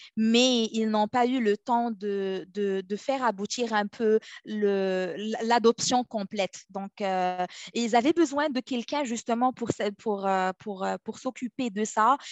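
A woman's fairly high-pitched voice unfolds at a very slow pace. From Morocco. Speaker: legal operations specialist. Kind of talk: interview. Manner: halting.

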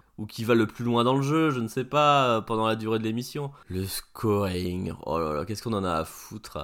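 A man with an unremarkable speaking voice and medium pitch talks at a moderate pace with lively intonation and hardly any pauses, in a very clean recording over a silent background. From France, Paris region. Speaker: retro video game podcaster. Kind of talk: casual solo commentary. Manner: informal, swearing-laced.

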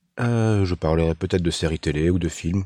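His voice is very deep and low, with a dark, mellow tone and ordinary pitch variation. The man speaks at a fairly slow pace against a quiet background. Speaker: podcaster. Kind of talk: casual monologue. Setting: in a car. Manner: halting, repeats words.

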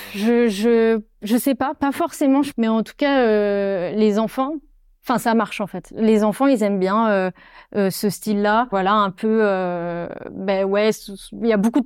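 A woman speaks at a fairly high pitch and a fairly slow pace. Her pitch varies in an ordinary way, and the recording is very clean with a silent background. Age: 20s. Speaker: storyboard artist. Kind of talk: casual interview. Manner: hesitant, many fillers.

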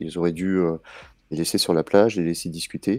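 The tone is dark and mellow, delivered at a moderate pace. The sound is dry and close, with no echo. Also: man. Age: 30s. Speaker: TV series fan commentator. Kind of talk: casual chat. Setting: late-night Twitch live stream.

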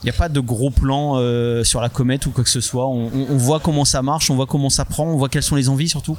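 Talking at a very fast pace, a man with medium pitch keeps his intonation fairly even and his loudness very even. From France. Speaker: comics artist and publisher. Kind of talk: interview. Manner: hesitant, many fillers.

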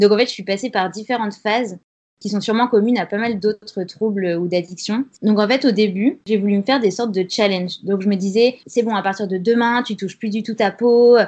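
An ordinary speaking voice from a woman, medium in pitch, at a fairly quick pace with fairly even intonation. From France, Grenoble. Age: 20s. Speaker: freelance content writer sharing her recovery story. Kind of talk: interview testimony.

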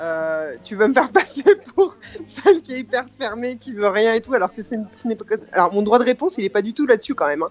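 A woman talks at a fairly quick pace with a fairly high pitch. Her pitch swings very widely, and her loudness swings a lot too. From Apulia, Italy. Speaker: guest responding to host. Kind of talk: heated debate.

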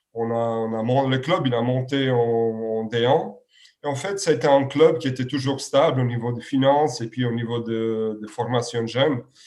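This man talks fairly slowly, his medium pitch rising and falling in an ordinary way. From Serbia. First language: Serbian (speaking French). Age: 30s. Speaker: handball coach. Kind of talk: interview. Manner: halting, many repetitions and fillers.

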